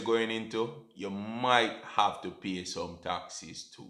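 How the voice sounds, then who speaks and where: A man's medium-pitched voice with a Jamaican accent. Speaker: personal finance YouTuber. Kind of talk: educational talk to camera. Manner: casual, conversational.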